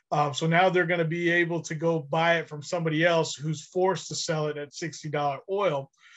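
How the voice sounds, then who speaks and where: Against a quiet background, a man with a fairly high pitch speaks at a fairly quick pace in a monotone, flat intonation with hardly any pauses. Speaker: oil and gas executive. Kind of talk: casual chat. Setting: video call. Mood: concerned, opinionated. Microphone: webcam.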